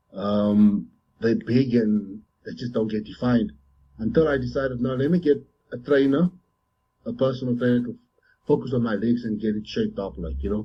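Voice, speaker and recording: With long, frequent pauses, a man speaks in a somewhat breathy voice at a medium pitch with ordinary pitch variation. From South Africa. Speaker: professional bodybuilder. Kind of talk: interview. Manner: halting.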